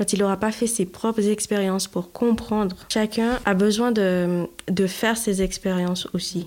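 On a very clean recording with a silent background, a woman of medium pitch speaks at a fairly slow pace in a monotone, flat intonation with hardly any pauses. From Haiti. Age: 30s. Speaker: mother of four. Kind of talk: casual chat.

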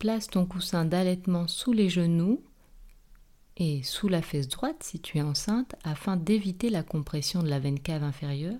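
A woman speaks in a fairly low, dark, mellow voice with a calm, soothing tone and lively intonation. The recording is very clean, with a silent background. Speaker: yoga teacher and nurse. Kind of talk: guided meditation (yoga nidra body scan). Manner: slow, calm, soothing; repeats each body part twice, with pauses.

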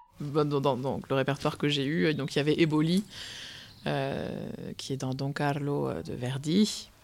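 Very slow and broken by long, frequent pauses, a woman's very deep, low voice carries vocal fry and ordinary pitch variation. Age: 20s. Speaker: opera singer. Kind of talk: interview. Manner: halting.

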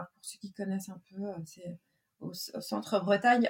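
This is a woman speaking at a medium pitch. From Brittany, France. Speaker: business coach. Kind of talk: interview. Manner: hesitant with many fillers.

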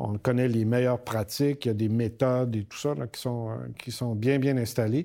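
Recorded very cleanly against a silent background, a man with a Quebec accent speaks at medium pitch in a dark, mellow tone, with fairly even intonation and big swings in loudness. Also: moderate pace. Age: 60s. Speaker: university rector. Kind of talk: interview.

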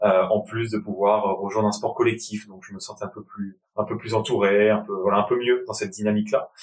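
A man with a fairly low voice talks at a fairly quick pace, hardly pausing, in a monotone, flat delivery. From Paris region, France (Val-d'Oise). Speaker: professional rugby player and consultant. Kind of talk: interview conversation.

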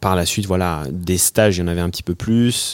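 The recording is very clean and the background silent. A man talks with a very deep, low pitch and fairly even intonation. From Haute-Savoie, France. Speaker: professional freediver. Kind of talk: casual interview. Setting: outdoors above a lake. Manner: hesitant, many fillers.

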